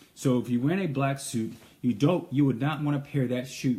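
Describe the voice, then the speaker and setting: Somewhat breathy and medium in pitch, the man's voice carries a dark, mellow tone. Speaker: menswear tailor. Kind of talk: live stream style advice.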